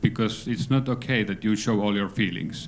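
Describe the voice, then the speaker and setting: A man's fairly low voice carries fairly even intonation. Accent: Finnish. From Finland. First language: Finnish. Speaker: aid worker. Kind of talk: workshop discussion.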